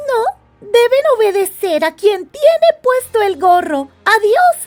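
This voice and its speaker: Faint music plays behind a woman using a put-on character voice at an extremely high pitch. She goes at a fairly slow pace. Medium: read story. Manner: polite, obliging.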